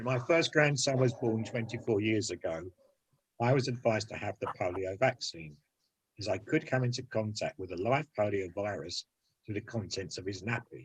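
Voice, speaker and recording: A man's somewhat breathy voice at medium pitch and moderate pace, with ordinary pitch variation. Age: 70s. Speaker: polio survivor. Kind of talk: recorded testimony.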